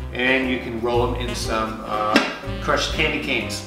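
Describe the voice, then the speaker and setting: A man talks at a moderate pace with audible room echo. Clear music plays in the background. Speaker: home cook vlogger. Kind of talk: tutorial. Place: kitchen. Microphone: camera far.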